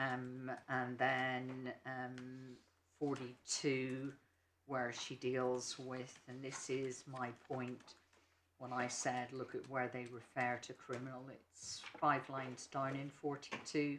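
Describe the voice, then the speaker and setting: Speaking very slowly with an English accent, a man holds a medium pitch. His intonation is monotone and flat. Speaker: barrister. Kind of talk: legal argument in court. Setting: courtroom. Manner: soft-spoken, not projecting; hesitant, many ums.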